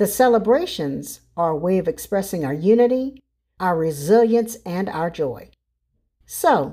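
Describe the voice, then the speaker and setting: A woman with an American accent speaks fairly slowly in a dark, mellow tone. Her pitch sits in the medium range but swings very widely. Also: very clean recording, silent background. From US South, South Carolina (Charleston). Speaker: nonprofit executive. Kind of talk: scripted commentary.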